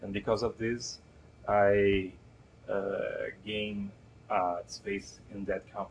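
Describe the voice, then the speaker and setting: Man with a Brazilian Portuguese accent and fairly low pitch, at a very slow pace with long, frequent pauses and monotone, flat intonation, over light background noise. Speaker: game concept artist and creative assistant. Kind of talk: interview answer. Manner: hesitant, halting. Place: office.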